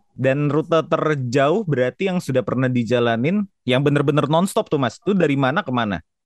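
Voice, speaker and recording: Delivered at a fairly quick pace with hardly any pauses, the speech has lively intonation. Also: man, fairly high pitch for a man. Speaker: podcast host. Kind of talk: casual chat.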